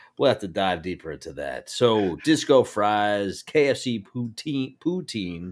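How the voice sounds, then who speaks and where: A fairly low-pitched man with an American accent, fairly slow pace and lively intonation, on a very clean recording with a silent background. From New Jersey. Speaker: podcast co-host. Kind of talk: casual chat. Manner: animated.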